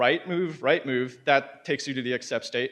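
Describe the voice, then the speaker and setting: With a quiet background behind him, a man talks at a fairly high pitch and varies it in an ordinary way. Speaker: conference speaker. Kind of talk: conference talk. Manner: fast; animated.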